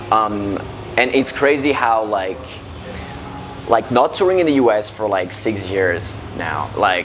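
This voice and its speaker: A man with a French accent and a fairly low pitch talks at a fairly slow pace with lively intonation and long, frequent pauses. Audible room echo and noticeable background noise are present. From France. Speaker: metalcore band frontman. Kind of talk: interview. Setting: music festival backstage. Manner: halting.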